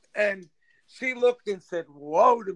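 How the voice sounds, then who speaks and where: Speaking fairly slowly in a New York accent, a man has a high pitch. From New York, Rockaway, Queens. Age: 50s. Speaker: local politician. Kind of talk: casual chat. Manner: animated.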